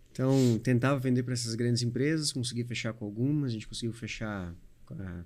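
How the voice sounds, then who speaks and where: Using a plain, everyday voice, a man speaks fairly quickly at a medium pitch with fairly even intonation. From Paraná, Brazil (Medianeira). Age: 40s. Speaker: trucking company owner. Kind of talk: podcast interview.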